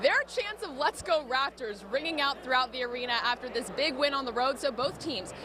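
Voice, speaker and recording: A woman's raised, projected voice, high-pitched and upbeat and energetic, over noticeable background noise. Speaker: TV sports host / reporter. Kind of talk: TV sports broadcast reporter, on-location stand-ups. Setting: outdoors in noisy arena with crowd chants. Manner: upbeat, energetic, live on-location.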